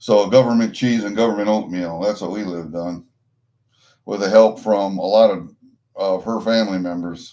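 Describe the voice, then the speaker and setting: A man with a Midwestern American accent speaks at a moderate pace in a fairly low, dark, mellow voice, fairly even in intonation but with big swings in loudness. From US Midwest, Iowa. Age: 60s. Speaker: livestreamer, coin collector. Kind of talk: casual chat. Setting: livestream. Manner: rambling, profane.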